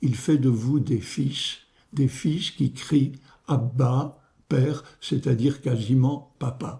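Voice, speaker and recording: A somewhat breathy male voice of medium pitch, with a dark, mellow tone and a very slow pace. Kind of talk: homily-style meditation. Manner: hesitant, with fillers and repetitions.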